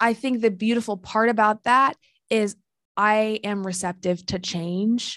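A woman with an American accent speaks fairly slowly in a normal speaking voice at a fairly high pitch, in a very clean recording with a silent background and a dry, close sound with no echo. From rural Illinois. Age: 20s. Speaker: life coach. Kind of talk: casual chat.

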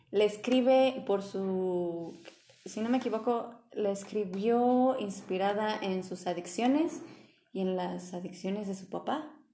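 A woman's medium-pitched voice at a very slow pace, with ordinary pitch variation and audible room echo. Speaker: podcast host. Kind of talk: casual chat. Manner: loud.

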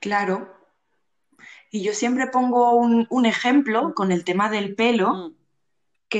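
A woman's voice with ordinary pitch variation. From Spain, Barcelona. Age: 20s. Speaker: guest, community organizer. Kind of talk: casual interview conversation.

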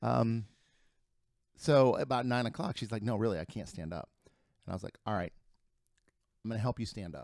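Speaking fairly quickly with lively intonation and long, frequent pauses, a man with a Midwestern American accent uses a medium pitch, recorded very cleanly against a silent background with a dry, close sound and no echo. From Ohio (Lima). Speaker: real estate agent. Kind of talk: casual chat.

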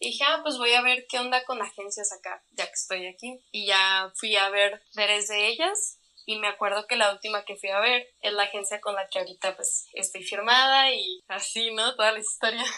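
Her bright, sharp tone sits at a fairly high pitch as this woman speaks at a moderate pace with fairly even intonation and hardly any pauses, on a very clean recording with a silent background. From northern Mexico, Chihuahua. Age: 20s. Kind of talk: interview conversation.

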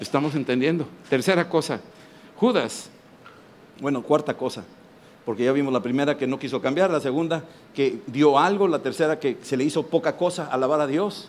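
Delivered at a moderate pace with ordinary pitch variation, the speech is broken by long, frequent pauses. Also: man, fairly high pitch for a man. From Mexico. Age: 60s. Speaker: preacher. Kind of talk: sermon. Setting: stage with audience. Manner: animated.

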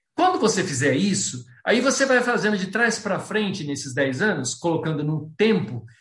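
Lively intonation marks this man's speech, heard with audible room echo. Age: 60s. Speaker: planning and goal-setting speaker, amateur runner. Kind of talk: online talk with Q&A.

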